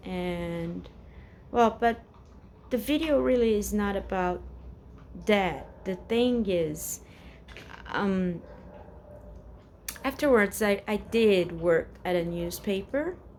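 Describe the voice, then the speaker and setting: A woman with a Portuguese accent at a very slow pace, with long, frequent pauses. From Brazil, São Paulo. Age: 40s. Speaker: vlogger. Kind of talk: casual personal vent to camera. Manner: halting, many fillers and repetitions.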